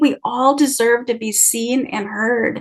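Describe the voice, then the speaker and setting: Her voice is high for a woman, with ordinary pitch variation. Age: 60s. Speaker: oracle card deck creator and animal wisdom guest. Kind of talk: casual interview conversation.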